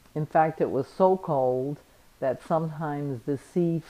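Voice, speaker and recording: Very deep and low in pitch, a woman speaks with a dark, mellow tone. Her pitch variation is ordinary. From Danzig (now Gdansk). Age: 80s+. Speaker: Holocaust refugee, grandparent. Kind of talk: documentary interview testimony.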